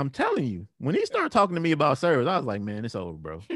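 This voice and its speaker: A man's voice with very wide pitch swings, dry and close with no echo, in a very clean recording over a silent background. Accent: American. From Cleveland, Ohio. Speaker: church musical director and keyboardist. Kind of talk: casual interview. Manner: halting, many fillers.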